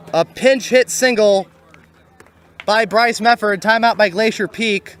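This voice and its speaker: A man speaks at a fairly slow pace in a high pitch, with fairly even intonation. Noticeable background noise runs underneath. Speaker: baseball play-by-play announcer. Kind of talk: live commentary. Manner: stutters at times.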